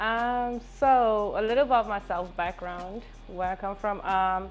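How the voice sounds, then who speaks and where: Very slow speech from a woman at medium pitch, with fairly even intonation and music in the background. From South Africa. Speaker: fitness and dance instructor. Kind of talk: casual interview chat.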